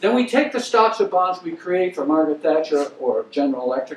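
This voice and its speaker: A man with an American accent talks at a high pitch, with very wide pitch swings and a moderate pace. There is noticeable background noise. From Maine, US. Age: 70s. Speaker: investment banker, guest lecturer. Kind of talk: lecture.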